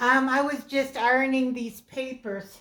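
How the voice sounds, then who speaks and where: Loud and at high pitch, a woman talks at a very slow pace in a monotone, flat intonation. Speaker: crafter. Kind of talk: crafting tutorial. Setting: living room at home. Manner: halting.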